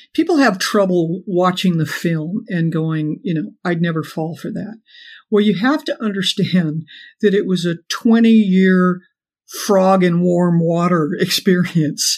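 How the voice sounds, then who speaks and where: In an unremarkable speaking voice, a woman talks at a fairly slow pace and medium pitch with ordinary pitch variation, on a very clean recording with a silent background. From Los Angeles, US. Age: 60s. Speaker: author, former cult member. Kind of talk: interview conversation.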